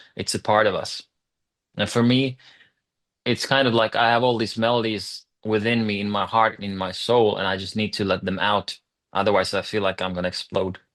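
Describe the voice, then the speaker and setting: A man with a Swedish accent, fairly low in pitch, monotone and flat, at a moderate pace against a quiet background. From Finland, Swedish-speaking. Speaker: rock singer. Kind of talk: interview.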